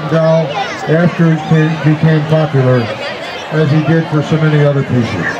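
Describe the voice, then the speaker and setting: A man speaks at a moderate pace. Crowd noise carries in the background. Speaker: concert announcer. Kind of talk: public announcement introducing songs. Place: garden. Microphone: podium.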